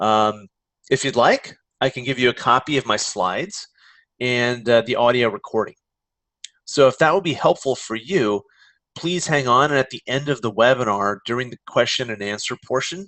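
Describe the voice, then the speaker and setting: This man's voice sits at a medium pitch. He talks at a moderate pace, with ordinary pitch variation. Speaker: career coach. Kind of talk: webinar presentation. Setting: online webinar.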